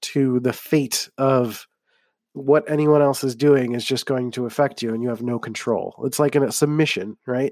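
A man with an American accent, medium-pitched, dark and mellow in tone, at a fairly slow pace, on a very clean recording with a silent background. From US, Philadelphia. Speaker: podcast host. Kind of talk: solo podcast monologue. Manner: slurs words together; casual, conversational.

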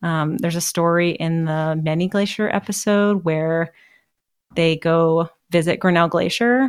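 A woman with an American accent speaks in a fairly low pitch with ordinary pitch variation. Hers is an unremarkable speaking voice on a very clean recording with a silent background. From US Pacific Northwest (Seattle). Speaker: park service science communicator, former geologist. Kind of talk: casual interview.

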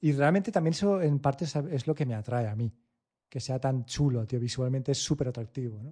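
Against a quiet background, a man speaks at a fairly quick pace in a medium pitch, somewhat breathy, dark and mellow in tone, with ordinary pitch variation. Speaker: tech podcast co-host. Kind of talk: casual chat.

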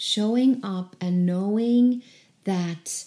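With a non-native accent, the voice has a dark, mellow tone and ordinary pitch variation. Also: woman. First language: not English. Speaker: creativity coach and podcaster. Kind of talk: solo podcast teaching practice. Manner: hesitant, repeats words at times.

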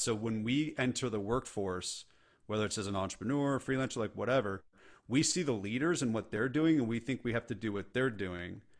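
In a plain, everyday voice, a man with an American accent speaks at medium pitch with ordinary pitch variation against a quiet background. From California. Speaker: entrepreneur and leadership speaker. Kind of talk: casual interview chat.

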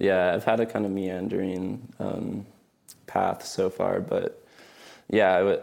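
A man speaking very slowly, broken by long and frequent pauses. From New Mexico, Albuquerque. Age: 20s. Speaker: writer and linguist. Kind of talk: casual interview. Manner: hesitant, frequent um and uh.

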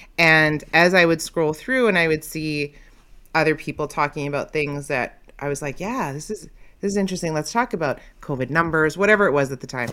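With a Canadian accent, a woman speaks in a very deep, low pitch and a bright, sharp tone. Her pace is fairly quick, with ordinary pitch variation. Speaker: content creator. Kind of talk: casual chat. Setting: video call.

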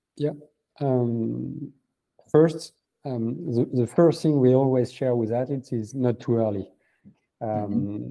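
Speaking with a French accent, a man uses a medium pitch and ordinary pitch variation at a fairly slow pace, pausing long and often. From France. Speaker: venture capital founder. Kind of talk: interview. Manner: halting, many fillers.

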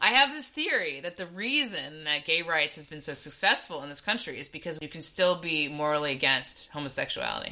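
A woman with a Californian accent and a very deep, low pitch, fairly quick with hardly any pauses, ordinary pitch variation, and big swings in loudness. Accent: Californian American. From US West Coast, Bay Area. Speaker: podcast co-host. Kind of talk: casual chat.

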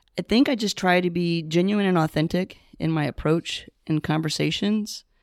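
A woman with an American accent speaks in an unremarkable speaking voice, fairly low in pitch with ordinary pitch variation, in a very clean recording with a silent background and a dry, close sound with no echo. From US South. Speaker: retired teacher and nonprofit founder. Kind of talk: interview.

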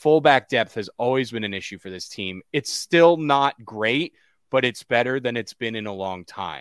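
An unremarkable speaking voice with an American accent and lively intonation moves with big swings in loudness and hardly any pauses, in a dry, close sound with no echo on a very clean recording with a silent background. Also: man. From Connecticut, US. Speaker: soccer journalist. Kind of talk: casual interview.

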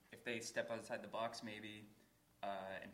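A man with an American accent talks at a fairly low pitch in a monotone, his intonation flat. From Boston area. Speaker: indie record label owner. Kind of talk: live panel discussion. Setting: stage with audience.

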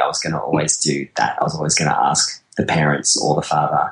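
Speaking at a fairly quick pace, a man talks with an Australian accent. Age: 40s. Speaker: wedding photographer. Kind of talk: casual interview chat. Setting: video call.

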